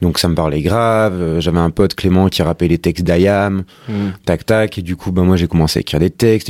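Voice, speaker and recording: On a very clean recording with a silent background and a dry, close sound with no echo, a man with a very deep, low voice speaks very fast with fairly even intonation. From Paris suburbs. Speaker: rapper. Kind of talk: casual chat.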